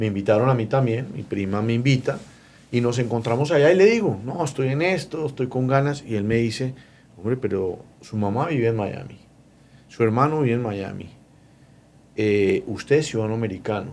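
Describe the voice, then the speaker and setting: A man with a Bogotá accent talks at a fairly quick pace at medium pitch, with ordinary pitch variation and long, frequent pauses. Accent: Bogotá (rolo) Colombian Spanish. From Colombia, Bogotá. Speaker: mortgage lender. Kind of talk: interview.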